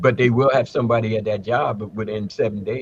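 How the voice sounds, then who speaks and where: A man's somewhat breathy voice at medium pitch, moderate pace and ordinary pitch variation. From United States. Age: 70s. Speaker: Ifa elder and English professor. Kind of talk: casual chat. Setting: live stream.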